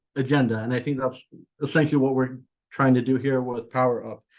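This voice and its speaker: With a Californian accent, a man speaks at a medium pitch in a flat, monotone delivery. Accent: American (California). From Iran, raised in California. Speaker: executive director of an immigrant advocacy group. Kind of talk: webinar remarks. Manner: many filler words (uh, um).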